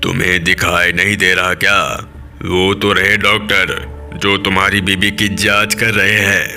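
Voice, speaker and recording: Clear music plays in the background as a man speaks in a put-on character voice. He keeps a moderate pace and a fairly low pitch. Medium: read story. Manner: curt, brusque.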